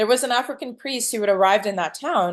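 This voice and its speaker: With a French accent, a woman speaks at a fairly quick pace. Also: quiet background. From Cameroon. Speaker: film director. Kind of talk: interview. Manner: casual, lots of fillers.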